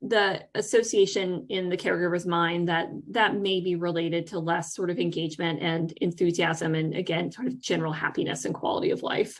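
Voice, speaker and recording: A woman is speaking. Her pitch is fairly low. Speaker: researcher presenting study findings. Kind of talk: conference presentation. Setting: virtual conference webinar. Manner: fast; hesitant, many fillers.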